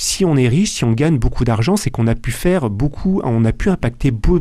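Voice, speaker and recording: The voice has a dark, mellow tone and lively intonation at a fairly quick pace. The recording is very clean, with a silent background. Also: man. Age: 40s. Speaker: wealth management adviser and author. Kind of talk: radio interview. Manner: halting, with frequent repetitions and fillers.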